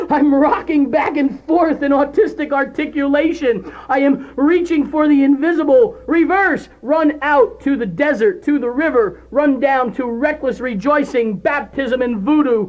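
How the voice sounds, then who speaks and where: Delivered at a fairly slow pace with hardly any pauses, the speech comes through noticeable background noise. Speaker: spoken word poet. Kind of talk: spoken word poetry performance. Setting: audio cassette recording.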